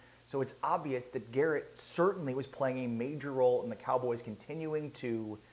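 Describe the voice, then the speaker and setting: With an ordinary speaking voice, this man keeps a medium pitch, a moderate pace and ordinary pitch variation. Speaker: sports YouTuber. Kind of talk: casual commentary.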